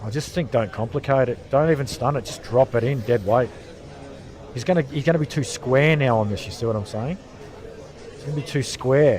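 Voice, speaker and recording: With an Australian accent, a man speaks at a fairly quick pace, broken by long, frequent pauses, with ordinary pitch variation and big swings in loudness. Music plays in the background. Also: medium pitch for a man. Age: 50s. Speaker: pool commentator. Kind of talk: live sports commentary. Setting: pool venue behind the games in progress.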